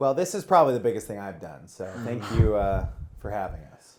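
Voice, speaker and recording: Fairly low with vocal fry, a man's voice moves at a fairly quick pace with lively intonation and big swings in loudness. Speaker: musician and podcaster. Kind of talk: casual conversation.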